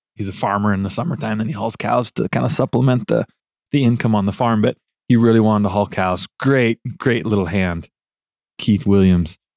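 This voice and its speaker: This is a man with an ordinary speaking voice, fairly low in pitch with ordinary pitch variation and a fairly quick pace. The recording is very clean with a silent background, dry and close with no echo. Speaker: truck driver. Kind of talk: casual chat.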